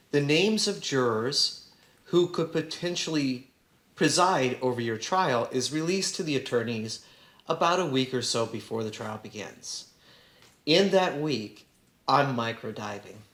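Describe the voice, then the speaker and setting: With an American accent, a man talks at a fairly slow pace in a fairly high pitch, his intonation lively, amid audible room echo. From Southern California. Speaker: trial attorney and school board president. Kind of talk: panel talk to students. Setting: classroom event with audience.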